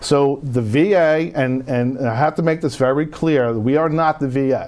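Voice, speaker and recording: Noticeable background noise sits behind a man speaking with a North Jersey accent, very even loudness and ordinary pitch variation. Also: fairly high pitch for a man, moderate pace. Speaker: veterans home care benefits adviser. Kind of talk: TV interview. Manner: animated.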